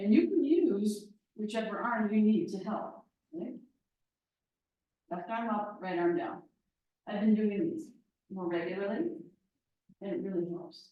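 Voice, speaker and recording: A somewhat breathy voice at a fairly slow pace, with long, frequent pauses, very wide pitch swings and audible room echo. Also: woman, medium pitch for a woman. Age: 60s. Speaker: yoga teacher. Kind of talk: guided yoga class instruction.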